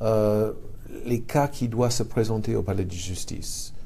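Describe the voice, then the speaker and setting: Audible room echo surrounds a man with an American accent. His voice has a medium pitch, a dark, mellow tone and fairly even intonation. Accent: charming American accent in French. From United States. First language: English (speaking French). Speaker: lawyer. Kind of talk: interview. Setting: his office. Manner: halting, repeats words.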